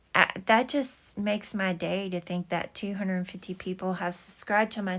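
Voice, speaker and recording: A Texas accent at a fairly slow pace, in a very clean recording with a silent background. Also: woman. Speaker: scrapbooking YouTuber. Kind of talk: casual craft tutorial. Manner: halting with many fillers.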